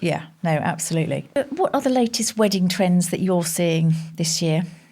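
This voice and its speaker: Through noticeable background noise, a woman speaks at a fairly low pitch with lively intonation. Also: moderate pace, very even loudness. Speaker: podcast host. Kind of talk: podcast interview questions.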